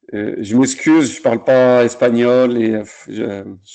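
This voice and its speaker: A man speaks in a medium pitch with monotone, flat intonation. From France, Lyon area. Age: 40s. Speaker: circus artist. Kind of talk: talk on his career. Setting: video call. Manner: halting.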